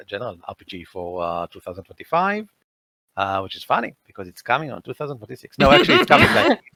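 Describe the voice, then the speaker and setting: A man with an Israeli accent, bright and sharp in tone, in a dry, close sound with no echo. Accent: Israeli accent, clear. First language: Hebrew. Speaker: tabletop game editor and designer. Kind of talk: casual interview chat.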